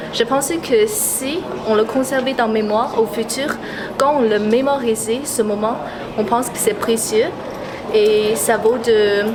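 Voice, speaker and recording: Fairly high in pitch, a woman speaks at a moderate pace with fairly even intonation. Audible room echo and noticeable background noise fill the recording. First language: Mandarin. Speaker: passerby interviewed on the street. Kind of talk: street interview. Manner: halting, with fillers.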